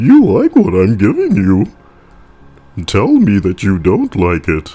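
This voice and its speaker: A man uses a put-on character voice with fairly low pitch at a fairly slow pace. Faint music plays in the background. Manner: sleazy, teasing.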